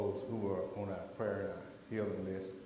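With light background noise and audible room echo, a man speaks in a fairly low, flat monotone. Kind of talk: church announcements and prayer. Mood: calm, reverent. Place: church. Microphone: lapel.

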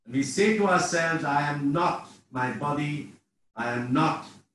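A man talks at a very slow pace. His fairly high pitch shows ordinary variation. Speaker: meditation guide. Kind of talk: guided meditation. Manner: slow, calm.

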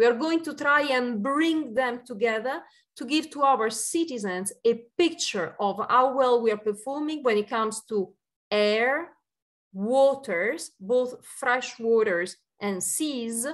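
A woman speaks very slowly in a high voice with lively intonation. The background is quiet. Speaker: EU Commission official. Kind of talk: panel discussion. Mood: earnest, measured. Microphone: video call.

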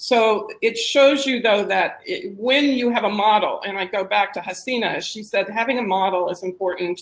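With an American accent, a woman speaks at a moderate pace in an unremarkable speaking voice. Her pitch is fairly high, with ordinary variation. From United States. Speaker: social entrepreneur. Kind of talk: panel discussion.

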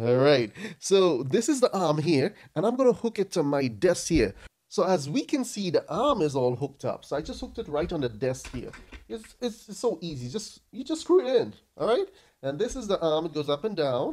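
A man speaks at a moderate pace. His pitch swings very widely against a quiet background. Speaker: product reviewer. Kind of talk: casual review vlog. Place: home room. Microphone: studio mic.

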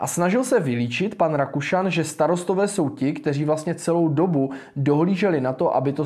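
Speaking at a fairly quick pace with hardly any pauses, a man with a fairly high pitch and a dark, mellow tone varies his pitch in an ordinary way against a quiet background. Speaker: political commentator and livestream host; political commentator, livestream host. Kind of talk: live political commentary stream. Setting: live stream. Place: studio. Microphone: lapel.

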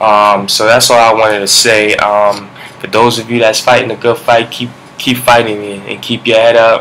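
Over noticeable background noise, a man talks at a moderate pace with a medium pitch and monotone, flat intonation. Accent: Brooklyn. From Brooklyn, New York. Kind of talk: vlog monologue with preaching. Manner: halting, many fillers.

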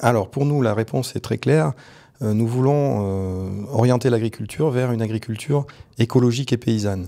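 Over a quiet background, a man talks in a dark, mellow tone with ordinary pitch variation. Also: moderate pace. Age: 40s. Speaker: parliamentary candidate; candidate. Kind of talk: political interview. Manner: hesitant, frequent fillers.

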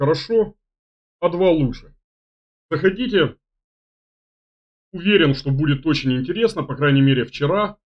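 A man speaks in a somewhat breathy voice at a moderate pace. He leaves long, frequent pauses over a quiet background. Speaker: chess commentator, stream host. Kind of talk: casual announcement to viewers. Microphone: webcam.

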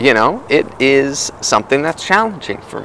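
Moderate pace, a dry sound with no echo, and light background noise. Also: man. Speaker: podcast host. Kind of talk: casual vlog chat. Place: forest. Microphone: earbuds.

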